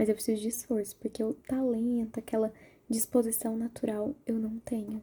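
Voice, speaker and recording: A soft-spoken woman's dark, mellow, somewhat breathy voice, fairly high in pitch, at a moderate pace with monotone, flat intonation. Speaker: university student. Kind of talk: ASMR soft-spoken personal talk to camera.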